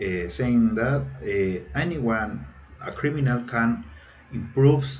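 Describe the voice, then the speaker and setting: Audible room echo surrounds a man speaking at a very slow pace with lively intonation. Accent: Chilean Spanish. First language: Spanish. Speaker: engineering student. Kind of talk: recorded presentation. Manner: halting, many fillers.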